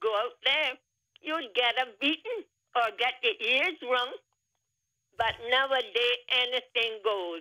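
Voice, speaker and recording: A woman speaks at a fairly slow pace in a high pitch. Her intonation is lively. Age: 90s. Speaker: caller. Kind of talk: casual chat.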